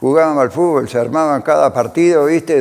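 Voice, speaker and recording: A man talks with an Argentine Litoral accent. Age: 70s. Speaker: former cyclist. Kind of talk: interview testimony.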